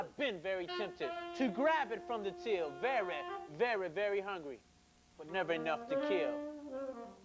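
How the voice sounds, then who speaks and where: A man's high voice with very wide pitch swings at a moderate pace, clear music behind it. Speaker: spoken word poet. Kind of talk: spoken word performance. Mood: intense, mournful. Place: studio.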